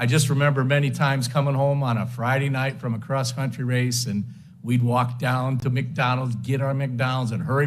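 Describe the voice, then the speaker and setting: A man with an American accent talks at a fairly quick pace. His intonation is flat and monotone, and the room echo is audible. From Western New York (Lakewood). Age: 70s. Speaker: hall of fame inductee, former runner and coach. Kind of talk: acceptance speech. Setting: banquet hall with audience. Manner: halting, many fillers.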